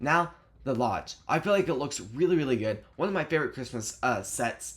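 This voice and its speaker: A man talks at a fairly quick pace with lively intonation, on a very clean recording with a silent background. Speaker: YouTuber reviewing toy sets. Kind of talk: casual review commentary. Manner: fast; halting, stumbling over words.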